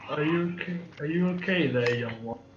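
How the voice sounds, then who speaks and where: Over clear background noise, a man puts on a gruff character voice. He talks at a fairly quick pace in a fairly high pitch. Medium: actual play. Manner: terse, curious.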